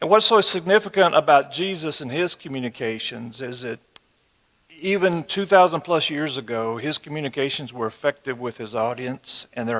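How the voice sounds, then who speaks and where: With a West Texas accent, a man talks in a fairly high pitch with lively intonation. His loudness swings widely. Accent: West Texas twang. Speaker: church teacher. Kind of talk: sermon. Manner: conversational.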